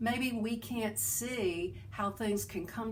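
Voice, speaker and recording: A woman with a Southern US accent and vocal fry speaks with lively intonation amid audible room echo. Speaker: self-help video host. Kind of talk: inspirational talk. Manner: halting.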